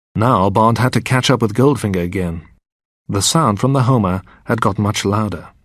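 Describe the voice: The clip is plain reading aloud with ordinary pitch variation over a quiet background.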